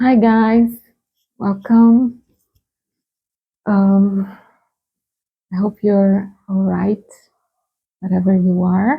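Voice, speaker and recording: The speaker has a Brazilian Portuguese accent and a somewhat breathy voice. Delivery is very slow, with long, frequent pauses. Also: woman, medium pitch for a woman, fairly even intonation. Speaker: tarot reader. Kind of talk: tarot reading. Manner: hesitant, with many fillers.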